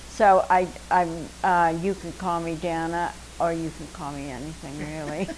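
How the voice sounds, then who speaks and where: A woman with an American accent speaks at a moderate pace and fairly low pitch, her intonation fairly even. Her loudness swings widely over noticeable background noise. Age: 80s+. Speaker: retired dancer and actress. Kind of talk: interview.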